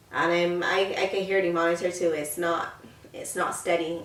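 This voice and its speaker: Against noticeable background noise, a woman speaks at a fairly low pitch and fairly slow pace with monotone, flat intonation. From Barbados. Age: 20s. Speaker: lifestyle YouTuber. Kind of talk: casual talk to camera.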